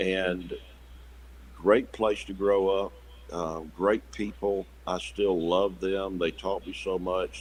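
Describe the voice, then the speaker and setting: A man with a South Carolina accent speaks at a fairly slow pace. His pitch is very deep and low. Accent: Southern US (South Carolina). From US South, South Carolina near Savannah. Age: 60s. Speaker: pastor. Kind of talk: interview conversation. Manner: halting, many repetitions and fillers.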